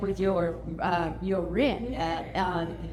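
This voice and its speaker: Audible room echo and noticeable background noise surround a woman speaking with an American accent. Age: old. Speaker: family reunion speaker. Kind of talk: casual talk to a gathering. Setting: family reunion gathering. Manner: halting, many fillers.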